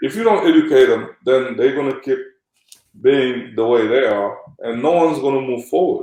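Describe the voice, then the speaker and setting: A man speaks with a Senegalese accent. His pace is moderate. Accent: Senegalese accent, kept. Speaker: former pro basketball player and agent. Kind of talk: interview conversation. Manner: animated, uses many fillers.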